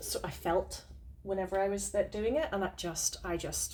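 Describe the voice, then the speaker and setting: This is a woman speaking in a Northern Irish accent. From Northern Ireland. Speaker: podcast co-host, witch. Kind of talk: casual chat.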